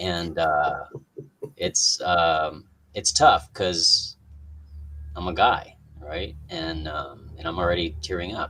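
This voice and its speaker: Over noticeable background noise, a man with a very deep, low pitch speaks at a very slow pace in a monotone, flat way with long, frequent pauses. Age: 50s. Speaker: coaching client sharing his story. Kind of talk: testimony. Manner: halting, many fillers and restarts.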